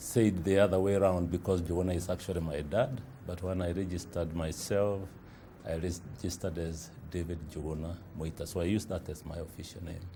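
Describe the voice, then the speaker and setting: With a Kenyan accent, a man talks at a fairly quick pace in a very deep, low voice with a dark, mellow tone and fairly even intonation. His voice is somewhat breathy, and room echo is audible. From Kenya, Kiambu (Githunguri). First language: Kikuyu. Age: 60s. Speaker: publisher and entrepreneur. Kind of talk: interview testimony. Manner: hesitant, many fillers.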